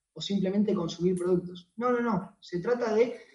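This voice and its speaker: Using a Rioplatense accent, a man with a high pitch and ordinary pitch variation speaks at a moderate pace. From Argentina, Buenos Aires (Temperley). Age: 20s. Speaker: network marketing distributor. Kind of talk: sales pitch. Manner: halting, repeated words.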